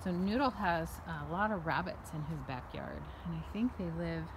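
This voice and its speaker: A woman, over noticeable background noise. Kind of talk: casual vlog chat. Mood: cheerful, affectionate. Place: garden. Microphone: phone near.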